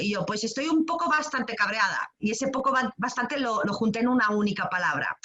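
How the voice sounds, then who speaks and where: A woman talks at a fairly quick pace with lively intonation over noticeable background noise. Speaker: creative writing workshop teacher. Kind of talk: online workshop talk. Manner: fast; hesitant, many fillers.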